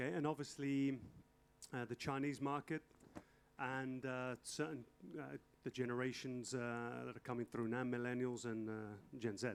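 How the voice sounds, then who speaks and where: In an English accent, the speaker keeps the intonation fairly even and leaves long, frequent pauses. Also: man, medium pitch for a man, moderate pace. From England. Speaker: fashion industry consultant, lecturer. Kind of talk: lecture with consecutive interpretation. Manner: halting.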